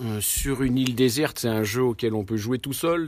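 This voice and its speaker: The man talks at a medium pitch. His pitch varies in an ordinary way. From Lyon area, France. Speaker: board game club member. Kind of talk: interview. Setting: board game event.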